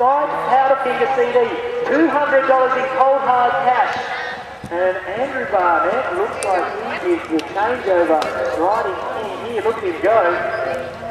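Very slow male speech broken by long, frequent pauses, with loud background noise and audible room echo. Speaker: event announcer. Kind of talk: commentary. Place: stadium.

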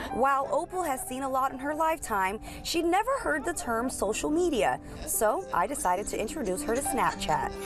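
A woman's high-pitched voice with very wide pitch swings at a fairly quick pace, with music in the background. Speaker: TV news reporter. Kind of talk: TV news package narration.

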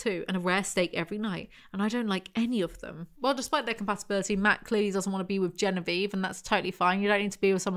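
Here is an unforced reading voice. The intonation stays fairly even.

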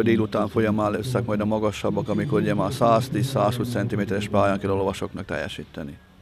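A man is speaking over noticeable background noise. The sound is dry, with no echo. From Hungary. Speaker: equestrian event organizer. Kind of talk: interview statement. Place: open country. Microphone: handheld.

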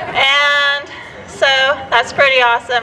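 A woman uses a raised, projected voice. There is light background noise. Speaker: candidate. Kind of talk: campaign speech. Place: street. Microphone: podium.

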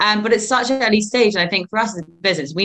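A woman with a southern English accent speaks at a very fast pace. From England. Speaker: recruitment firm co-founder. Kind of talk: interview. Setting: video call. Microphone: video call.

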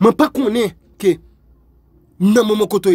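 A man, with a dry, close sound and no echo. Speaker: motivational video host. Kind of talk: motivational speech. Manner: repetitive, emphatic.

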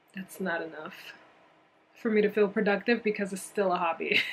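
A woman at medium pitch and a moderate pace, over noticeable background noise. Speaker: knitting vlogger. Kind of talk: casual vlog talk.

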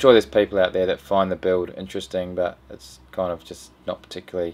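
Faint music plays behind a man whose very deep, low voice moves at a fairly quick pace. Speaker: boat builder vlogger. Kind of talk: casual vlog chat. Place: home room.

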